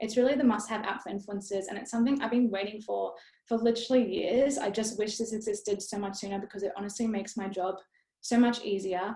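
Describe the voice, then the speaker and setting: At a very fast pace, a somewhat breathy voice carries a dark, mellow tone. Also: woman, fairly high pitch for a woman. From Australia. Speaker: influencer and blogger. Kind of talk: webinar presentation. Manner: fast when excited; casual, upbeat.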